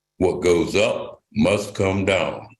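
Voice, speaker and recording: With an American accent, a man speaks at a fairly low pitch while audible room echo surrounds his voice. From western Pennsylvania, Mon Valley. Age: 70s. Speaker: retired steelworker and local resident. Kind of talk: personal testimony at a town hall. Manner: halting.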